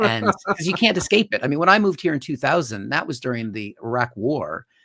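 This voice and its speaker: Speaking fairly quickly with an American accent, a man's fairly high, bright and sharp voice swings very widely in pitch, recorded dry and close with no echo. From US Pacific Northwest, Seattle. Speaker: stand-up comedian. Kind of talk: casual chat.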